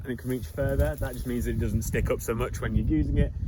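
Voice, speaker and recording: Background noise is noticeable throughout. Through it, a man's voice can be heard. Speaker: farmer. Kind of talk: tutorial. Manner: casual, conversational.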